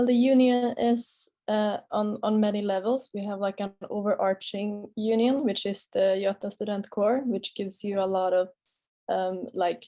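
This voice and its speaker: With a Swedish accent, a woman of medium pitch speaks at a moderate pace with fairly even intonation against a quiet background. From Sweden. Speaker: master's student on a panel. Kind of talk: webinar panel answer.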